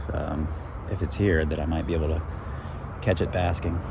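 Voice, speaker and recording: Over noticeable background noise, a man speaks quietly at a fairly quick pace. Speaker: wildlife YouTuber, turtle enthusiast. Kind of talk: outdoor field vlog narration. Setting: outdoors by a creek. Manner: quiet, hushed; casual, hesitant with fillers.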